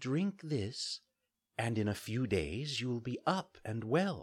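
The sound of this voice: In a put-on character voice, a man speaks slowly at medium pitch with big pitch swings and a slightly husky edge, in a very clean recording with a silent background.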